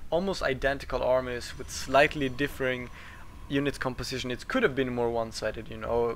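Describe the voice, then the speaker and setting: A man's voice at medium pitch and a moderate pace. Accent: non-native. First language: not English. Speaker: game commentator. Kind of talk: live commentary. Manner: halting, with fillers and restarts.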